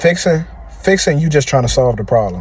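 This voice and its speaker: Here a man is talking, somewhat breathy. The tone of his voice is dark and mellow. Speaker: podcast host. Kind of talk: motivational monologue. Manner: fast; halting, repetitive.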